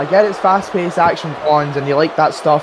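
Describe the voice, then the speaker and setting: A man speaks at a moderate pace with a fairly high pitch and fairly even intonation. Noticeable background noise runs under his voice. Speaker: wrestling commentator. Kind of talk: live commentary.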